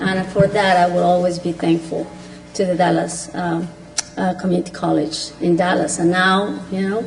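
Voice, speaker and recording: A woman at a medium pitch with a non-native accent, monotone and flat in intonation, at a moderate pace, with audible room echo and noticeable background noise. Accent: noticeable foreign. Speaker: county commissioner. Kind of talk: public meeting remarks. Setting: commissioners court chamber.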